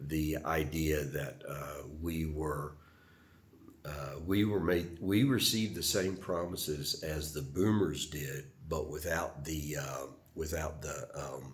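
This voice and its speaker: Vocal fry marks this voice with an American accent at a very slow pace. Pitch varies in an ordinary way, and audible room echo is present. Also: man, very deep, low pitch for a man. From US South. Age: 70s. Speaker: retired Air Force veteran vlogger. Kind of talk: personal reflection monologue. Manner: halting, many fillers.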